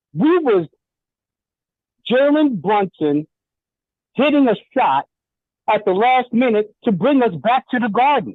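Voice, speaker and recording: A fairly slow pace with long, frequent pauses, in an American accent. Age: 60s. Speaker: caller. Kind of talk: call-in opinion.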